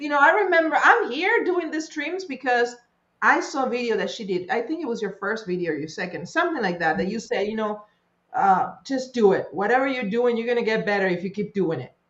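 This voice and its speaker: A woman speaks at a fairly quick pace in an animated tone. Her pitch swings very widely. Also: fairly high pitch for a woman. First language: not English. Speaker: crypto streamer. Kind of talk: panel discussion.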